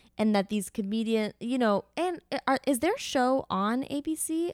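A woman with an American accent talks at a fairly quick pace, her tone animated and her intonation lively. The sound is dry and close with no echo, and the recording is very clean with a silent background. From Miami, Florida. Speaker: comedian and actress. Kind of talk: casual chat.

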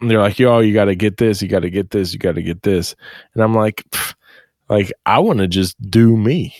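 An unremarkable speaking voice comes from a man with a fairly low pitch, ordinary pitch variation, and a moderate pace. The sound is dry and close, with no echo. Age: 30s. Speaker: podcast co-host. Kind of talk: casual chat.

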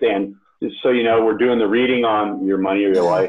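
Here a man speaks in an ordinary speaking voice. His pitch is medium and his pace moderate. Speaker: podcast host. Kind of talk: casual chat.

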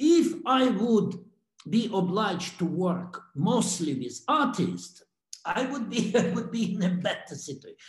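Slowish and echoing, a man's voice sits high in pitch with very wide pitch swings. The room echo is audible, and his pace is fairly slow. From Russia. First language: Russian. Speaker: art curator. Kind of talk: interview reflection. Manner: halting, many repetitions and fillers.

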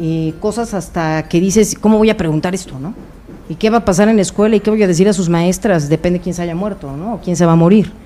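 A woman at medium pitch talks at a very fast pace. Her pitch variation is ordinary. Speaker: psychologist (doctor). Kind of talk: expert talk on radio.

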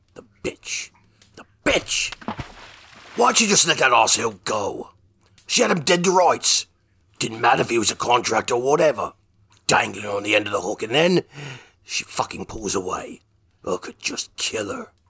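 Raspy and fairly high-pitched, a man talks at a moderate pace. He leaves long pauses, and often. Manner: angry, profane.

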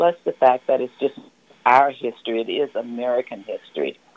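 A woman with a Southern US accent talks at a moderate pace, and the sound is dry and close with no echo. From US South. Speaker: community volunteer. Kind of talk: radio interview. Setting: phone call.

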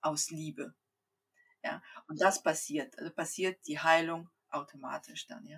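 The speech moves at a fairly slow pace, with long, frequent pauses. Loudness swings widely, and pitch varies in an ordinary way. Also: woman, fairly low pitch for a woman. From Kazakhstan, came to Germany at eight. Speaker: Human Design coach, mother of four. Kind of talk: casual interview.

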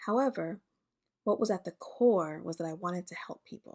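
A woman speaks at a moderate pace with fairly low pitch, ordinary pitch variation and a slightly mellow tone, in a very clean recording with a silent background.

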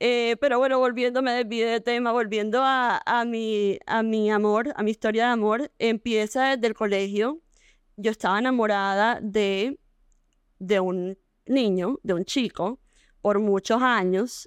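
Fairly slow, fairly even intonation, very even loudness, a dry, close sound with no echo, and a quiet background. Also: woman, fairly high pitch for a woman. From Colombia, Barranquilla. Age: 30s. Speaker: fashion entrepreneur. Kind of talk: interview.

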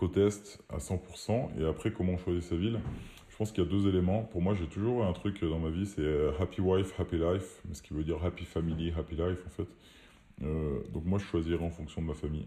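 A man speaks at a fairly quick pace in a very deep, low pitch. His tone is dark and mellow, and somewhat breathy. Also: ordinary pitch variation. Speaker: entrepreneur. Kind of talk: casual chat. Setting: remote recording.

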